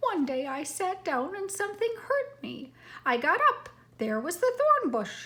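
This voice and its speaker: A woman uses a put-on character voice, extremely high in pitch with very wide pitch swings. She speaks in a raised, projected voice at a moderate pace. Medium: read story.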